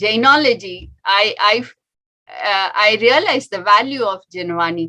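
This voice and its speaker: In an Indian accent, a woman with a bright, sharp tone and medium pitch speaks at a fairly slow pace with lively intonation. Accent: Indian English (Tamil). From India, Tamil Nadu (Chennai). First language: Tamil. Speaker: doctor. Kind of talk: talk to an audience. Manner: halting, many fillers.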